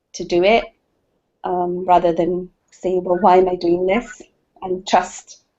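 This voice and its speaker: A woman of medium pitch speaks in a Scottish accent. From Scotland. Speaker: participant in women's circle. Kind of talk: sharing in online group circle. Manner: halting.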